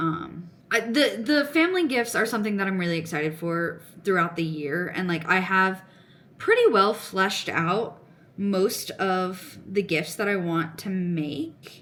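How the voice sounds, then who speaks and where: A woman mumbles at a fairly slow pace in a medium pitch. Audible room echo surrounds her voice. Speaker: crochet and knitting vlogger. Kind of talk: casual chat. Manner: mumbling.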